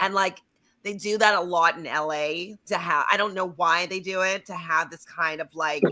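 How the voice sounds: A female-sounding voice doing a put-on character, nasal in tone, at a medium pitch for a woman and a moderate pace.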